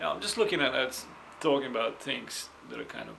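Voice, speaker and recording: A man with a non-native accent talks at a moderate pace and a medium pitch. There is audible room echo and noticeable background noise. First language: not English. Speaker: vlogger sharing personal experience. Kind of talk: personal testimony. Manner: halting, with many repetitions and fillers.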